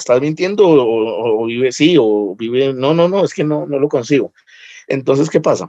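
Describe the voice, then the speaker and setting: Lively in intonation, a man speaks at a moderate pace and a fairly high pitch with a dark, mellow tone. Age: 30s. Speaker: lawyer and stand-up comedian. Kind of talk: casual interview chat.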